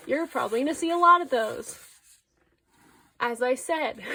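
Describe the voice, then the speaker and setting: Using a raised, projected voice, a woman speaks with ordinary pitch variation. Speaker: artist. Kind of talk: casual talk to camera. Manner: stuttery, rambling.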